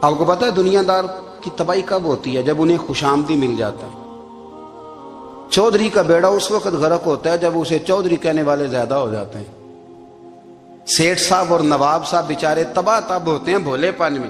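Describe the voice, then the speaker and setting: A man's high-pitched voice rises above music in the background. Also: ordinary pitch variation. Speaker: Islamic preacher. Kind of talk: religious sermon (bayan).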